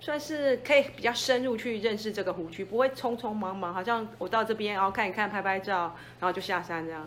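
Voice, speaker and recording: This woman has an unremarkable speaking voice, medium in pitch with ordinary variation, at a fairly quick pace. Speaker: mountain guide. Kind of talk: interview.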